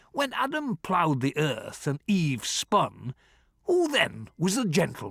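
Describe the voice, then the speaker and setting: A man's gruff, put-on character voice, high in pitch, at a fairly slow pace with very even loudness and a dry, close sound with no echo. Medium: read story. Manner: gruff, volatile.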